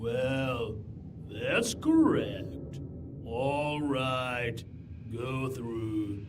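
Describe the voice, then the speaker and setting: Shouting in a put-on character voice at a medium pitch, a man speaks at a very slow pace with long, frequent pauses over loud background noise. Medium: video game. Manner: gruff, bickering.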